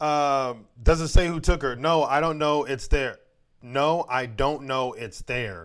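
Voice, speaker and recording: On a very clean recording with a silent background, a man with an ordinary speaking voice talks at a fairly slow pace and fairly high pitch. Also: ordinary pitch variation. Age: 30s. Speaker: podcast co-host. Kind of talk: casual chat.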